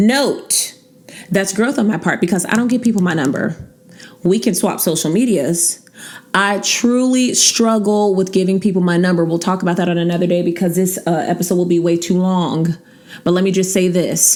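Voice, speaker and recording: With noticeable background noise behind her, a woman speaks in an animated tone at a moderate pace, her pitch medium, her pitch variation ordinary, and her loudness very even. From US, West Coast (California), later Virginia. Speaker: podcast host. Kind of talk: casual chat.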